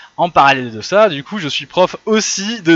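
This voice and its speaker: A man speaks at a moderate pace in an animated tone with ordinary pitch variation, his voice dry and close with no echo over noticeable background noise. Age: 30s. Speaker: lecturer. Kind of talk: lecture.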